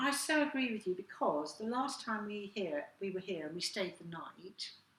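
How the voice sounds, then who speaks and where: Over noticeable background noise, a woman at medium pitch speaks at a moderate pace with very wide pitch swings. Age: middle-aged. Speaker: online magazine host. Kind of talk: casual chat to camera.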